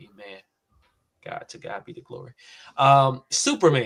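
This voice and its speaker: A man talks in a bright, sharp tone at a fairly high pitch. His pace is fairly slow. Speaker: podcast host. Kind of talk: casual chat.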